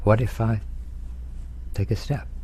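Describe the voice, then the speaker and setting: At a very slow pace, the voice swings very widely in pitch over noticeable background noise. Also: man. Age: 70s. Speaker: executive coach. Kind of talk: casual chat. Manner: halting.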